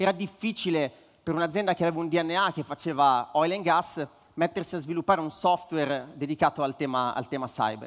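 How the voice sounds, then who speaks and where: With a quiet background, a man in an ordinary speaking voice talks fairly quickly at a fairly high pitch with ordinary pitch variation. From northern Italy, Varese; northern Italy. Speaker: startup co-founder, tech executive; speaker. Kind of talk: conference speech. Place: stage. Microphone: headset.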